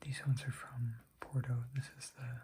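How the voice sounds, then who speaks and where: Soft-spoken and somewhat breathy, a man talks in a dark, mellow tone with monotone, flat intonation. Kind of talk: ASMR show and tell.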